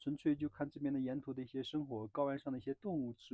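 A man talks at a very fast pace. The background is quiet and the sound is dry with no echo. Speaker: travel vlogger. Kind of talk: casual vlog chat. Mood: mildly complaining. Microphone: phone near.

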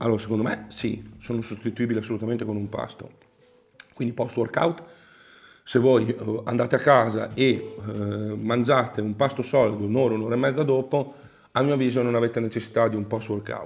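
A man at medium pitch, fairly quick in pace but with long, frequent pauses, his intonation fairly even. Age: middle-aged. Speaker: professional bodybuilder and online coach; online coach. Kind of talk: casual Q&A chat. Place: home room.

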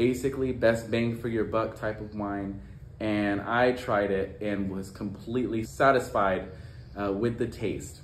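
A man at a fairly slow pace, with light background noise and audible room echo. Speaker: wine blogger. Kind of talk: casual vlog review. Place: home room.

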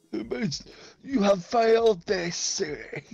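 The pitch sits fairly high. It is a put-on character voice. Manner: growling, menacing.

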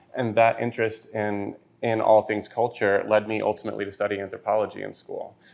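This man talks at a fairly quick pace with an American accent and a fairly low pitch. His intonation stays flat and monotone. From Texas, Lubbock. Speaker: brand designer. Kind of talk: casual interview. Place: bar.

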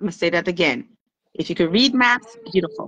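A woman's lively intonation comes through in a bright, sharp tone, recorded dry with no echo. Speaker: triathlon coach. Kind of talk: interview answer, coaching advice. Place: home room. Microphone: video call.

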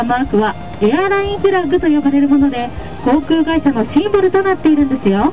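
Her pace is fairly quick. Behind this woman, clear music plays. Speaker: tour guide. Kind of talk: tour guide commentary. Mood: cheerful, polite. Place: bus.

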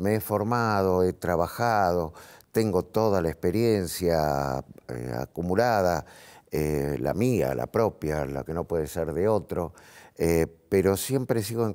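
Speaking at a fairly slow pace, a man uses a very deep, low pitch. His intonation is lively, and the background is quiet. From Argentina, Buenos Aires. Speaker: actor. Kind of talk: TV talk show interview. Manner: halting, many fillers. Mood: reflective, earnest. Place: studio. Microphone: lapel.

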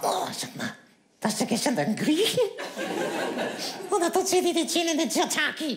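Using a put-on character voice, a man speaks at an extremely high pitch. His moderate pace is broken by long, frequent pauses. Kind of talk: comic ventriloquist act. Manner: cheeky, insulting, quick-witted.

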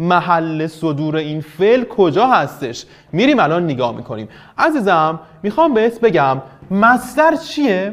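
The speaker has an animated tone with very wide pitch swings, moving at a fairly slow pace. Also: man, high pitch for a man. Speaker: teacher. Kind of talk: online class lesson. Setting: online video lesson. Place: studio.

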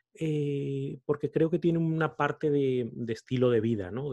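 His pitch shifts in an ordinary way. The man keeps a moderate pace. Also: quiet background. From Spain, Salamanca. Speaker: podcaster and coach. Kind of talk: interview conversation. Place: home room. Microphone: studio mic.

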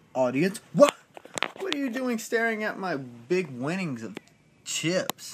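A man's voice with very wide pitch swings over noticeable background noise. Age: 20s. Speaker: vlogger. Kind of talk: casual vlog monologue. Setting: cruise ship cabin. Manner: animated. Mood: boastful, playful. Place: home room. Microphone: phone near.

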